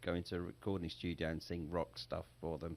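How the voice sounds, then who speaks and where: An English accent at a fairly quick pace, on a very clean recording with a silent background. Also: man. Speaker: singer and entrepreneur. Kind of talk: interview.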